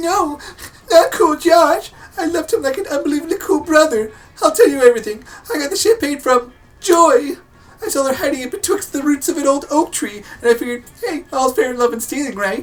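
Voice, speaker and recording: The voice is a put-on character voice with a high pitch. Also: fairly quick pace. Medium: game stream. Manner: breezy, casual.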